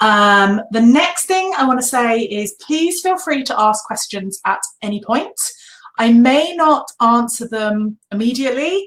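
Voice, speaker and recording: A high-voiced woman with a British accent speaks at a fairly slow pace. Her pitch swings very widely. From Britain. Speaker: online business coach. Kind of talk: live webinar training. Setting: live video webinar. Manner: animated.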